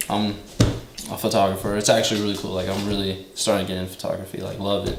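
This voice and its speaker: Amid noticeable background noise and audible room echo, a man with an American accent talks at a very fast pace in a fairly low, flat, monotone voice. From Texas. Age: 20s. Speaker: podcast co-host, car photographer. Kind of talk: casual chat.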